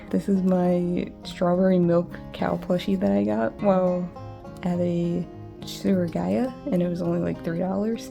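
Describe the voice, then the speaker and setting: Music sits behind the voice, which moves along at a fairly slow pace. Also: woman. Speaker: artist. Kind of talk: casual talk to camera.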